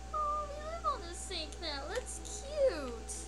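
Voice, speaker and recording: A squeaky, put-on character voice with clear music in the background. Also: fairly slow pace. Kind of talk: gameplay commentary. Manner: cute, cheerful. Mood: playful, amused.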